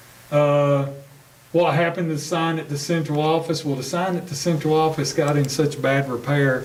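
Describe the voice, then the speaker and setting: Someone with an American accent speaks at a moderate pace with fairly even intonation, with audible room echo. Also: man. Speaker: school superintendent. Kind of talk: board meeting discussion. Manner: loud; hesitant fillers.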